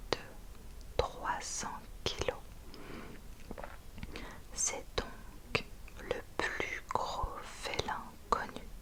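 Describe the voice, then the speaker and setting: A woman whispers with long, frequent pauses over noticeable background noise. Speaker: ASMR reader. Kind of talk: ASMR book reading. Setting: close to the microphone. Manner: whispered.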